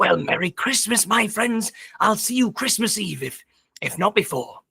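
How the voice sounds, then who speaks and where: A put-on character voice talks at a moderate pace with a fairly high pitch. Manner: jolly.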